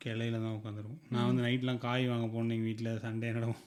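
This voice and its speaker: A man's medium-pitched, flat monotone over noticeable background noise. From Tirunelveli, Tamil Nadu. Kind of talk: casual podcast conversation, storytelling.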